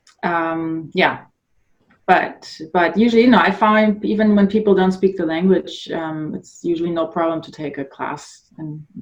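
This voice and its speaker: A woman speaks in a German accent at a fairly low pitch. Her pitch variation is ordinary, while her loudness swings a great deal. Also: moderate pace. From northern Germany. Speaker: adult ballet dancer and blogger. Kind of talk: podcast interview. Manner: halting.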